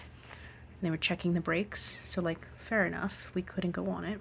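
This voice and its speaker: A somewhat breathy woman's voice at medium pitch, moderate pace, and with monotone, flat intonation. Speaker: hiking vlogger. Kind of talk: casual vlog diary.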